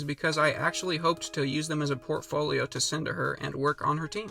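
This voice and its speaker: A man with a fairly high pitch races along at a very fast pace over noticeable background noise. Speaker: animation YouTuber. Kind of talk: scripted narration.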